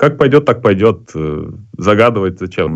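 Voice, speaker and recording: A man is talking. His voice sits very deep and low in pitch. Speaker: poker player and live tournament commentator. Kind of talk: casual chat. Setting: video call.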